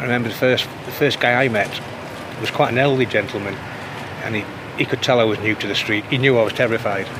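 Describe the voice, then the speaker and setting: A man of medium pitch speaks very fast yet with long, frequent pauses. Background noise is noticeable. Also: fairly even intonation. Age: 50s. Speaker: formerly homeless church sexton. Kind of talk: interview. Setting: outdoors.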